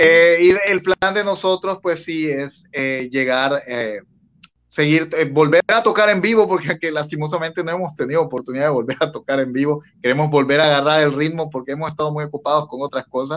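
A man's fairly high, normal speaking voice at a fairly quick pace, with ordinary pitch variation. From Bolivia. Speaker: rock band vocalist. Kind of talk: interview.

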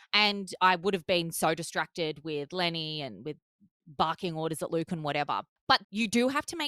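At a moderate pace, a woman with an Australian accent speaks in a bright, sharp tone with lively intonation on a very clean recording with a silent background. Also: dry, close sound with no echo. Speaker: podcast host, mother. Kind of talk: casual chat.

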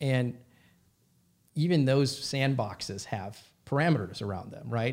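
A man with an American accent talks at a moderate pace in a plain, everyday voice. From US Midwest, Minnesota. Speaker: comedy company CEO. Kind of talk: casual interview.

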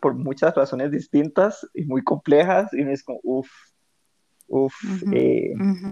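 Spoken at a fairly slow pace with a Costa Rican accent, this voice sits over a quiet background. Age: 30s. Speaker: podcast co-host. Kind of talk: casual chat.

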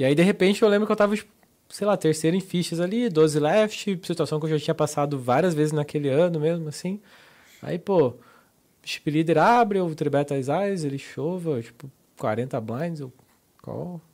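This man has a normal speaking voice, pitched fairly high. He talks at a moderate pace. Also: ordinary pitch variation. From Santa Catarina, Brazil. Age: 30s. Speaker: professional poker player. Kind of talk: casual interview. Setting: studio.

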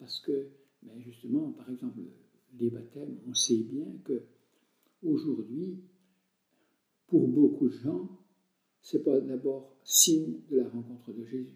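The pace is very slow, with long, frequent pauses. Loudness swings widely from moment to moment. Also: man. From France, Jura. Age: 70s. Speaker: retired country priest. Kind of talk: interview.

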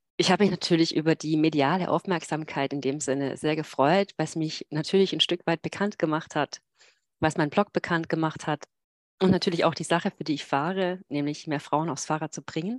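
With a very deep, low pitch and fairly even intonation, a woman speaks at a fairly quick pace in a dry, close sound with no echo. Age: 40s. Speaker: long-distance cyclist and blogger. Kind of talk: casual interview. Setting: video call from home office.

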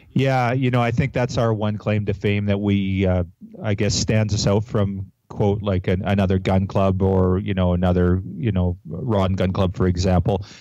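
A man's fairly low voice with a dark, mellow tone, fairly even intonation, very even loudness and a moderate pace. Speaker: wildlife conservation group representative. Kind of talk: interview.

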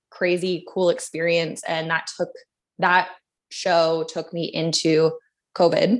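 A woman with a Canadian accent and a plain, everyday voice speaks at a fairly slow pace, her pitch fairly low. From Canada, Vancouver. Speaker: advertising producer and art director. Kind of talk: casual interview.

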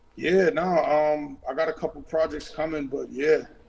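A man with an American accent speaks in a fairly high pitch. He has an unremarkable speaking voice. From Boston. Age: 30s. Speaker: rapper. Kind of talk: casual chat.

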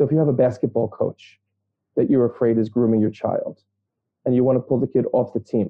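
With a New York accent, a man speaks at a fairly quick pace in a medium-pitched voice with ordinary pitch variation. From Brooklyn, New York. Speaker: social worker and therapist. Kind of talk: interview conversation.

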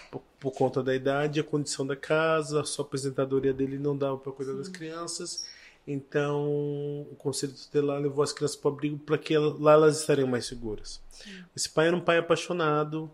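Fairly quick and fairly high-pitched, a man talks in a monotone, flat intonation while his loudness swings widely. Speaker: missionary and adoptive father. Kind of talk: testimony.

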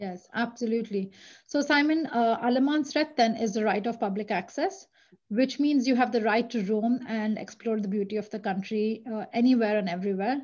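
Over a quiet background, a woman speaks at a fairly high pitch with ordinary variation. Her somewhat breathy voice keeps a moderate pace. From India. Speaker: tourism marketing manager. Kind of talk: interview.

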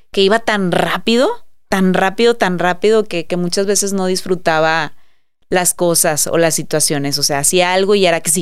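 Moderate pace, ordinary pitch variation and a medium pitch in a woman's plain, everyday voice. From Mexico, Monterrey. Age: 30s. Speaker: entrepreneur and influencer. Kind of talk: casual interview chat.

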